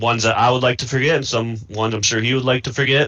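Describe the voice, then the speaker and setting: A man speaks very fast with an American accent, his pitch in the medium range. His intonation stays fairly even over noticeable background noise. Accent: thick Midwest accent (per another player). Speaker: video game player. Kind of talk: post-game interview.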